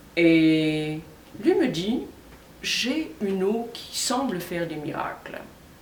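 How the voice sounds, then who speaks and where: A woman speaks at a fairly low pitch with lively intonation, amid audible room echo and noticeable background noise. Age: 60s. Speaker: customer testimonial. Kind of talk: testimony.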